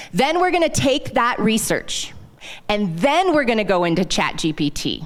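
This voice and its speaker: A woman's fairly high, animated voice with very wide pitch swings and very even loudness. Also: moderate pace. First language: not English. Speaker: sales consultant. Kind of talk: live workshop presentation. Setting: stage with audience, handheld mic.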